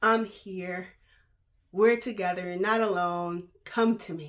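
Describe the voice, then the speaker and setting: A woman talks at a fairly slow pace in a bright, sharp tone. The recording is very clean, with a silent background. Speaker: vlogger and Bible study leader. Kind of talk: casual vlog talk. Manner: many filler words (um).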